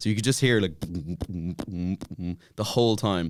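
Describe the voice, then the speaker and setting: A man speaks with a Dublin accent at a fairly quick pace and fairly low pitch. His intonation is fairly even, and the recording is very clean with a silent background. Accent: Dublin Irish. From Ireland, Dublin (Glasnevin). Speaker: podcast guest, YouTuber. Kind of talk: casual chat.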